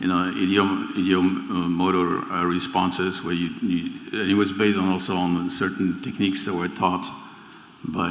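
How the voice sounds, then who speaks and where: A man's very deep, low voice with a French accent, monotone and flat at a moderate pace, with audible room echo and noticeable background noise. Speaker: remote viewing teacher. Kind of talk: stage interview. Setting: event stage with audience. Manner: halting, many repeated words.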